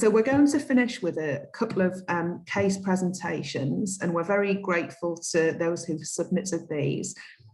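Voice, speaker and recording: Lively intonation marks this woman's somewhat breathy voice. Her pitch is medium and her pace moderate. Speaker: conference moderator. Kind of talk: event moderation.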